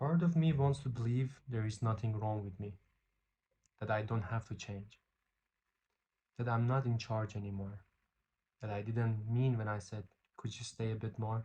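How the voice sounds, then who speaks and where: A man with a non-native accent, a dark, mellow, somewhat breathy tone, ordinary pitch variation and long, frequent pauses. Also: medium pitch for a man, moderate pace. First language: not English. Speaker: poet and vlogger. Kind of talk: casual vlog with poetry reading. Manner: reading aloud poems.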